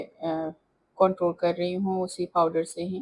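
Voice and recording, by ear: A woman talks at a fairly slow pace, fairly low in pitch with little pitch movement and a slightly mellow tone.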